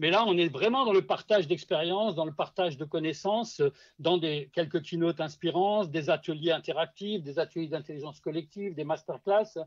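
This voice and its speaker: Against a quiet background, a man talks at a fairly quick pace in a high voice with ordinary pitch variation and hardly any pauses. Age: 60s. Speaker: social selling consultant. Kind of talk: podcast interview. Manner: hesitant, many fillers and repetitions.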